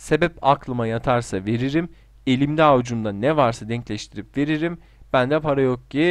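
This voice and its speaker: In a normal speaking voice, a man talks at a moderate pace and medium pitch with ordinary pitch variation against a quiet background. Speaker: gaming YouTuber. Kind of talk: casual solo commentary doing online quizzes.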